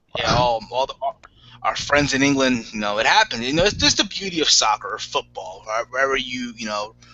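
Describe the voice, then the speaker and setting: A man at medium pitch with lively intonation and a fairly quick pace, amid noticeable background noise. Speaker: wrestling podcast host. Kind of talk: casual chat. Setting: live video hangout. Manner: stutters, self-admitted.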